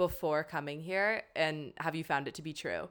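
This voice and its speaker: A woman with a Canadian accent and a plain, everyday voice speaks at a fairly slow pace with ordinary pitch variation, in a very clean recording with a silent background. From Canada. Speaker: podcast host, graduate student. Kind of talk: casual chat. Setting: bedroom recording.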